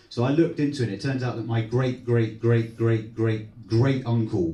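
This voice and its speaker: A man talks fairly quickly at a medium pitch, somewhat breathy, with a dark, mellow tone and ordinary pitch variation. Audible room echo is present. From Torquay, Devon, South West England. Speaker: stand-up comedian. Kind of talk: stand-up. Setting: stage with audience in a social club. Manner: animated.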